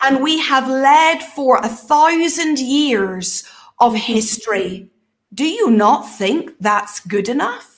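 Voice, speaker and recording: Talking at a very slow pace, a woman uses lively intonation. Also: quiet background. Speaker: prophetic minister and show host; prophetic minister, show host. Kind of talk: casual panel Q&A discussion. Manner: animated. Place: home room. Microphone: webcam.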